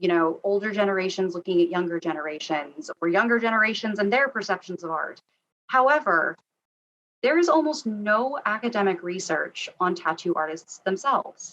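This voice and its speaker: A woman's normal speaking voice, medium in pitch, with an American accent, lively intonation and a moderate pace. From US, Arizona. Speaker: tattoo artist researcher and historian. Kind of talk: lecture.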